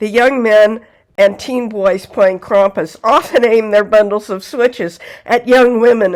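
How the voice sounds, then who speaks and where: A woman talks at a fairly slow pace with fairly high pitch and ordinary pitch variation. She has a plain, everyday voice. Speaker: folklore channel host. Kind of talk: folklore narration to camera.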